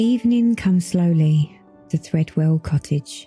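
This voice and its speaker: Soft-spoken and calm in tone, this voice moves at a fairly slow pace with lively intonation, dry and close with no echo, while music plays in the background. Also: woman. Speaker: cross stitch YouTuber and storyteller. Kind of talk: soft-spoken bedtime storytelling narration. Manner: soft-spoken, calm, slow.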